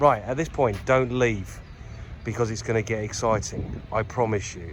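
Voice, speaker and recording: In a Yorkshire accent, a man mumbles at a fairly low pitch, with audible room echo around him. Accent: northern English (Yorkshire). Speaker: lawn care business owner. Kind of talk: casual vlog tour. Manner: mumbling a bit; chatty, informal.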